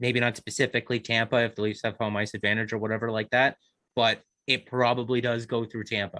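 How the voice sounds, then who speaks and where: Flat and monotone, a man at medium pitch speaks at a very fast pace. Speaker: hockey podcast panelist. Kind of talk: casual podcast chat. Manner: slurring at times.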